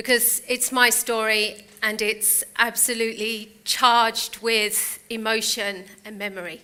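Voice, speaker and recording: A woman with a British accent and a fairly high pitch, monotone and flat, with hardly any pauses. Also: fairly slow pace, big swings in loudness. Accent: UK. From United Kingdom. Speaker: motivational speaker. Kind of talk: inspirational talk. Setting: stage with audience.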